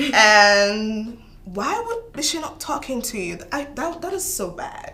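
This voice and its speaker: A woman speaks in a raised, projected voice at a high pitch, her pitch swinging very widely. Noticeable background noise is present. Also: fairly slow pace. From outside the US. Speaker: international student co-host. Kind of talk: casual chat.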